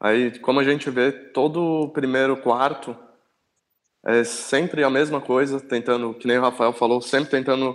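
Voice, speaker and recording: A man with a plain, everyday voice talks at medium pitch and a moderate pace, keeping his loudness very even. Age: 20s. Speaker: sports fan guest. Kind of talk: casual chat.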